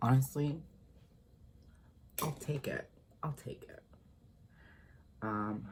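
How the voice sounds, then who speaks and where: The voice is soft-spoken and very slow, broken by long, frequent pauses. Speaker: drag performer. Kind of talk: ASMR makeup tutorial talk.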